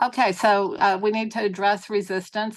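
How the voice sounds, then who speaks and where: The delivery is monotone with flat intonation, set against a quiet background. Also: woman. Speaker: therapist presenter. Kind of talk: webinar presentation.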